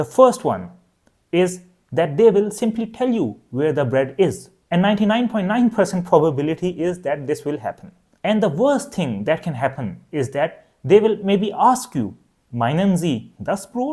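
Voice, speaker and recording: At a moderate pace, a man with a Pakistani accent speaks at a high pitch in a dark, mellow tone with very wide pitch swings, on a very clean recording with a silent background. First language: Urdu. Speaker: language teacher. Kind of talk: tutorial.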